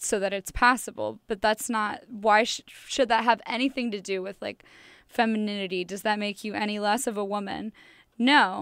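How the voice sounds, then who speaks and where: On a very clean recording with a silent background, a woman with an American accent speaks at a medium pitch in a monotone, flat intonation. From US Midwest, St. Louis, Missouri. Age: 20s. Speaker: student. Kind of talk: interview. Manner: hesitant, filler-heavy.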